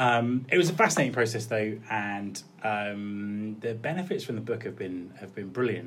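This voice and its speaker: With a southern English accent, a man talks at a moderate pace and medium pitch with ordinary pitch variation, big swings in loudness and hardly any pauses, in audible room echo. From Cornwall and Kent coast, England. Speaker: recruitment consultant and podcaster. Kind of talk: interview. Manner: hesitant, with fillers and repetitions.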